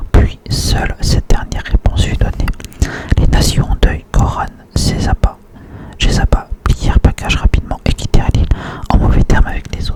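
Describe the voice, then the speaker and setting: Over noticeable background noise, a man whispers at a moderate pace with long, frequent pauses. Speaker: ASMR creator. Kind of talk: whispered book reading. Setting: close to microphone. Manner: whispered.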